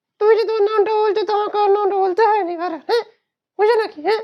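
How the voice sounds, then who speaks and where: At a moderate pace, a man performs a playful, cartoonish character voice at an extremely high pitch. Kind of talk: comic ventriloquism. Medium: puppet show. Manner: cheeky, playful.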